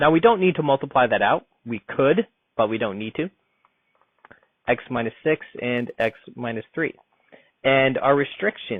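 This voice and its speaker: At a moderate pace and medium pitch, a man speaks with lively intonation and long, frequent pauses. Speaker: math teacher. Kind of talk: tutorial.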